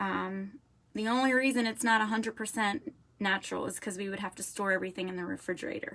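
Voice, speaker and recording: A woman is speaking. She has a slight Southern accent. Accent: slight southern drawl. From Florida. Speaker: makeup seller. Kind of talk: product demonstration. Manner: chatty.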